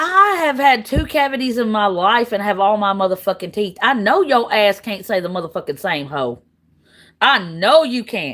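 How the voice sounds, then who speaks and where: In a Southern US accent, a woman speaks with an animated tone at a fairly slow pace on a very clean recording with a silent background. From US South, Tennessee. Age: 40s. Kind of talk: heated argument.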